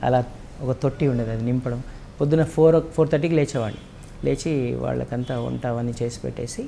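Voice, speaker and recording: A man's dark, mellow tone with fairly even intonation, over light background noise. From Telangana, Medak district; Telangana, India. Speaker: singer and music teacher; music teacher. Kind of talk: interview. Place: home room. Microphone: lapel.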